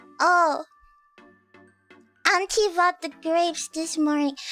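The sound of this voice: A woman's put-on character voice at an extremely high pitch and fairly slow pace, with faint music in the background.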